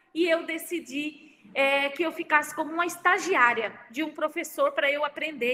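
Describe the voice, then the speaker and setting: At a moderate pace, a woman projects a raised voice with a bright, sharp tone and a high pitch. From Santa Catarina, Brazil. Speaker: university professor and speaker. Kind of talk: online lecture. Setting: video livestream with chat.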